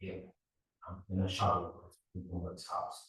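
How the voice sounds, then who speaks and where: A somewhat breathy man with an Australian accent at a moderate pace, with audible room echo. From Australia, partly raised in Serbia. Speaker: robotics professor. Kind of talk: lecture. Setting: seminar talk with audience.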